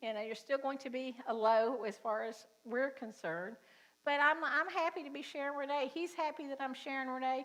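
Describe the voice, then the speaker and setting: A woman speaks in a Southern US accent with a high pitch and a bright, sharp tone. Her intonation is lively and her pace moderate. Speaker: pastor. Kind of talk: sermon. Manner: casual, conversational.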